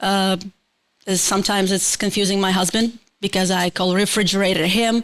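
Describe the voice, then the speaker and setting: A woman with a Ukrainian accent talks at a moderate pace and medium pitch in a monotone, flat intonation, on a very clean recording with a silent background. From Ukraine. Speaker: multidisciplinary artist and production co-owner. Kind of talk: casual interview chat. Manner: halting, hesitant.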